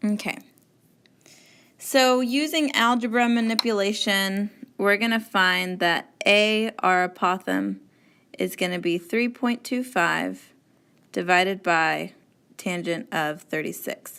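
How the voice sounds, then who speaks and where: A woman at a medium pitch with a bright, sharp tone and ordinary pitch variation, very slow with long, frequent pauses, on a very clean recording against a silent background. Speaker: math teacher. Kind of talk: tutorial.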